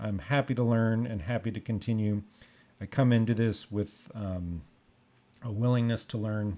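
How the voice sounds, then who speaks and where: This man's voice sits at a medium pitch with a dark, mellow tone. He speaks at a fairly slow pace with ordinary pitch variation. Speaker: music teacher. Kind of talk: tutorial. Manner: unscripted, halting with fillers.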